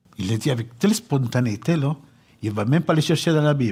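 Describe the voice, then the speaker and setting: A man's somewhat breathy voice with a dark, mellow tone, at a moderate pace with ordinary pitch variation. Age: 70s. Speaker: pastor. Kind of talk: sermon.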